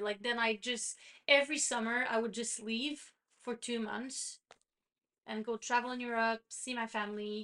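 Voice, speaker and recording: A woman's high-pitched voice in a Quebec accent, bright and sharp in tone, with ordinary pitch variation. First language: French. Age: 30s. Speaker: podcast co-host. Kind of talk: casual chat.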